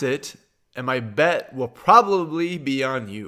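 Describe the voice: A man with a Midwestern American accent, a medium pitch, a bright, sharp tone and lively intonation, on a very clean recording with a silent background.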